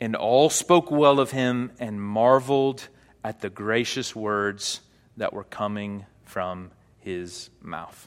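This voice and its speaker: A man with an American accent speaks at a medium pitch with ordinary pitch variation. He has a plain, everyday voice. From US South, Arkansas. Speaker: pastor. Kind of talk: sermon. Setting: church.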